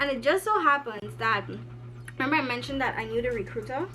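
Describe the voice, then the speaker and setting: A woman with a Guyanese accent talks at a fairly quick pace over noticeable background noise. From Guyana. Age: 20s. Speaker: university student. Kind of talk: casual storytime talk to camera.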